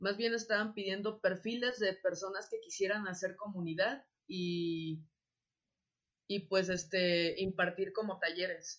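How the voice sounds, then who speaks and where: A woman speaks with a Mexican accent at a medium pitch. Her pace is fairly slow and her intonation fairly even. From Mexico, Acapulco (Guerrero). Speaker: industrial designer and workshop teacher. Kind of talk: casual interview. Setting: video call. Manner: halting, many fillers and repetitions.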